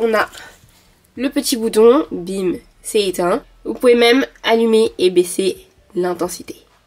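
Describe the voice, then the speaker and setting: Speaking with lively intonation, a woman leaves long, frequent pauses. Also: fairly high pitch for a woman. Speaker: lifestyle vlogger. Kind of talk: casual vlog talk to camera. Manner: fast; hesitant fillers.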